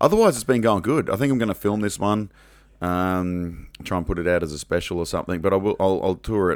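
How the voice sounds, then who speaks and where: In a very clean recording with a silent background, a man with an Australian accent speaks very fast in a very deep, low voice with ordinary pitch variation. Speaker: teacher, comedian and podcast co-host. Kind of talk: casual chat. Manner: loud.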